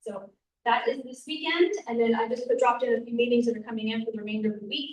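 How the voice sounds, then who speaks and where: Talking very fast, a woman uses a high pitch with ordinary variation and big swings in loudness. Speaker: neighborhood association meeting organizer. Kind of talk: meeting announcements.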